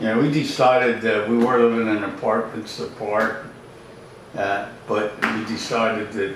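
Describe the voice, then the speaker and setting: Over noticeable background noise and audible room echo, a man with a Philadelphia accent speaks at medium pitch and a moderate pace, with fairly even intonation. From South Philadelphia, US. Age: 80s+. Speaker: retiree. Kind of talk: interview.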